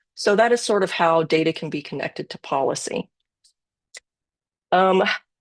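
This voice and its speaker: A woman with an unremarkable speaking voice talks at a moderate pace and medium pitch, with ordinary pitch variation, in a dry, close sound with no echo. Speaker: data presenter. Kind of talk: webinar presentation.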